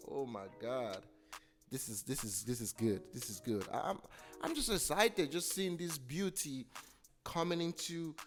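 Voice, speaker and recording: Over music in the background, a man with a fairly high pitch speaks at a fairly slow pace with very wide pitch swings. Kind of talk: comedic commentary voiceover over a makeup video. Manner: playful, jokey, enthusiastic.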